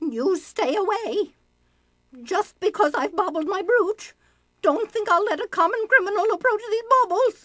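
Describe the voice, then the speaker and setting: Someone uses a put-on character voice with lively intonation at a moderate pace. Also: woman, extremely high pitch for a woman. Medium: video game. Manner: flustered, haughty.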